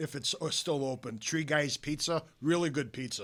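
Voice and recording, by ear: A man with a Chicago accent talks at a moderate pace with fairly even intonation and a fairly high pitch, on a very clean recording with a silent background.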